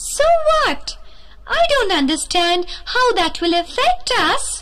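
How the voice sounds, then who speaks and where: A woman's cartoonish character voice, squeaky and extremely high-pitched, delivered fairly slowly over light background noise. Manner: doubtful, dismissive.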